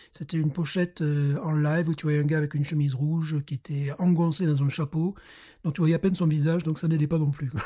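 A fairly high-pitched man with a dark, mellow tone delivers his words in a monotone, flat way at a fairly quick pace. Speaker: beer podcast host. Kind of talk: casual chat.

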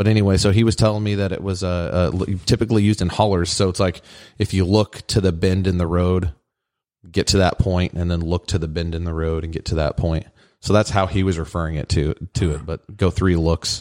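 In a very clean recording with a silent background and a dry, close sound with no echo, a man with a very deep, low pitch talks fairly quickly in fairly even intonation. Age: 30s. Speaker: podcast host. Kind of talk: casual chat.

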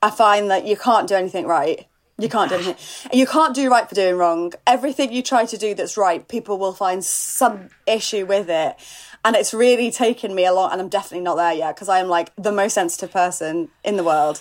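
A woman with an unremarkable speaking voice talks at a fairly quick pace, her pitch medium with ordinary variation. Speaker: podcaster and author. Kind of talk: casual chat.

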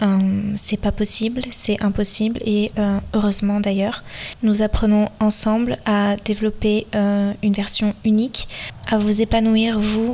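A woman's fairly high voice, very slow and monotone, with very even loudness and noticeable background noise. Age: 20s. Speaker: podcast host, dance teacher. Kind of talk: solo podcast monologue.

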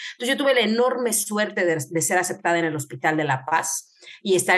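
A woman speaks at a fairly quick pace with lively intonation. Hers is a plain, everyday voice. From Mexico, Querétaro. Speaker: medical geneticist. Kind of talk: interview.

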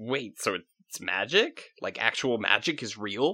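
Doing a put-on character voice, a man talks at a fairly slow pace and fairly low pitch, with big pitch swings and a bright, sharp tone.

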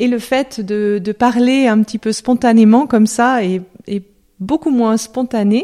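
Fairly slow speech from a woman with a dark, mellow tone comes across with a dry, close sound and no echo. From France, Lyon. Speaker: love coach. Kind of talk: interview; guided meditation.

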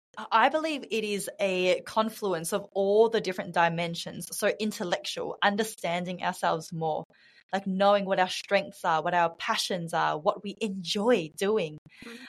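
Over a quiet background, a woman in an Australian accent speaks at a moderate pace, her medium pitch showing ordinary variation. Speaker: women's career mentor and speaker. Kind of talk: casual interview. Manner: animated.

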